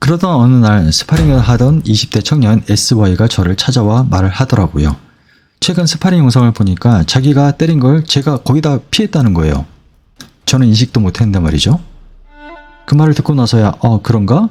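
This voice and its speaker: A man talks at a fairly quick pace with very even loudness. His medium pitch moves in very wide swings. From South Korea. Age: 50s. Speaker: vlogger, amateur boxer. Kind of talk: personal reflection monologue.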